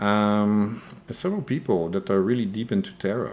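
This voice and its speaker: A man with a French accent and very wide pitch swings. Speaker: crypto news YouTuber. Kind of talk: live stream commentary with Q&A. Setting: live stream. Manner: hesitant, many fillers and repeated words.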